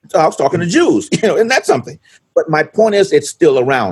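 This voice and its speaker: Vocal fry marks a man's fairly quick speech, which has very wide pitch swings. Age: 70s. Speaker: pastor. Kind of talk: interview conversation. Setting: video call.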